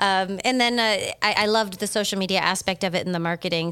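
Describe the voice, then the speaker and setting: Very fast speech in an American accent with ordinary pitch variation comes through on a very clean recording with a silent background. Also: woman. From Massachusetts. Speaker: solo travel expert and podcast host. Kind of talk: casual interview.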